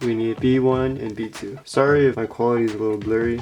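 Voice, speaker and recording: A man speaks at a fairly quick pace in a medium pitch, his intonation monotone and flat, with music playing in the background. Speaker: model kit builder. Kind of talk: tutorial. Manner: casual.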